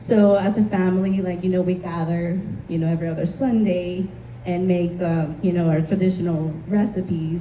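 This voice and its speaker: With a Spanish accent, a woman talks at a moderate pace and medium pitch with ordinary pitch variation, amid noticeable background noise and audible room echo. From Honduras. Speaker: community panelist, marketing consultant. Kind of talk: panel discussion.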